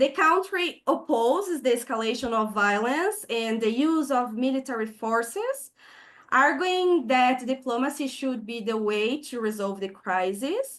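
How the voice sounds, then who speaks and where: A woman's high voice rises and falls with lively intonation at a fairly slow pace. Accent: Brazilian Portuguese. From southern Brazil. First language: Portuguese. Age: 20s. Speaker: peace activist. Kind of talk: online presentation.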